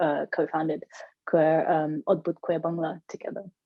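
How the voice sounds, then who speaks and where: A woman with a London accent speaks at a moderate pace and a fairly low pitch. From London, Hackney. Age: 30s. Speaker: queer community organiser. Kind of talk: radio interview.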